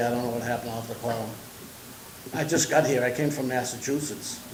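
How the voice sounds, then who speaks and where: A man speaks with fairly even intonation, and the recording carries audible room echo and noticeable background noise. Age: 70s. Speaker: property owner, landlord. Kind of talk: public comment at a village board meeting. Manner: halting, repetitive.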